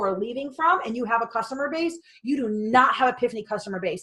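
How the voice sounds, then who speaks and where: A loud woman at a high pitch, talking at a very fast pace with lively intonation. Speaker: direct sales business coach. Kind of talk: motivational talk. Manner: animated.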